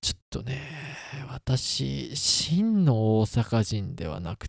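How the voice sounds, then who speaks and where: The speaker is a man with a fairly low pitch. The sound is dry and close, with no echo. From Kansai, Osaka. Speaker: podcast host, engineer. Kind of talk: casual solo talk.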